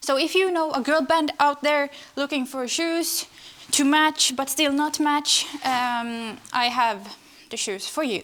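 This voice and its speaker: A woman with a non-native accent, high-pitched and lively in intonation, at a fairly slow pace. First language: not English. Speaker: home renovation vlogger. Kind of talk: casual vlog narration. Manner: casual, chatty.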